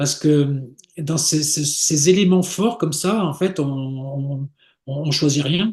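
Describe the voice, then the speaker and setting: This man's voice is fairly high and somewhat breathy. He speaks very slowly with ordinary pitch variation. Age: 60s. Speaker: sailor and travel agency founder. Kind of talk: interview. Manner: halting, many repetitions and fillers.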